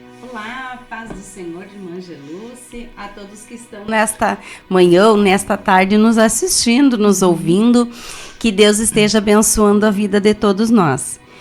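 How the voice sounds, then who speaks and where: A woman with a medium pitch and ordinary pitch variation talks as music plays in the background. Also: fairly slow pace, big swings in loudness. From southern Brazil, Rio Grande do Sul interior. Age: 40s. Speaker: accountant and church member. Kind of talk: testimony interview.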